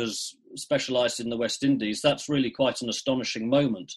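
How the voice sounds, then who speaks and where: A man with an English accent talks at a fairly quick pace. His medium pitch carries fairly even intonation. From England, Shropshire. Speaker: cricket writer. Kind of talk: interview.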